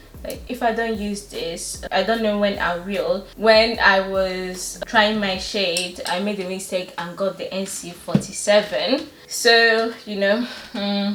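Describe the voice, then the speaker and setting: At a very slow pace and with hardly any pauses, a woman at medium pitch talks with fairly even intonation, with audible room echo and noticeable background noise. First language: not English. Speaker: beauty vlogger. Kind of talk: makeup tutorial. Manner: casual, hesitant with fillers.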